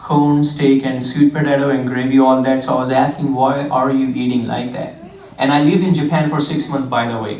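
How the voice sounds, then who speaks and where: Amid audible room echo and noticeable background noise, a man with an Indian accent speaks at a medium pitch in a monotone, flat intonation. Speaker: fitness trainer. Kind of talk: church talk.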